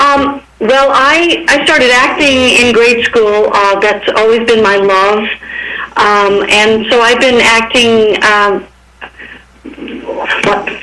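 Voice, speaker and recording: A woman's fairly high voice at a very slow pace, with ordinary pitch variation, very even loudness, long, frequent pauses, audible room echo and noticeable background noise. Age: 60s. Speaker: stage actor. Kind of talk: radio interview.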